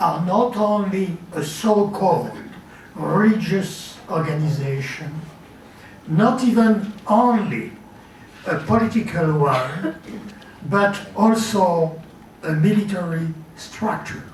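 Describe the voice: With audible room echo, a man speaks at a slow pace in a high pitch with ordinary pitch variation.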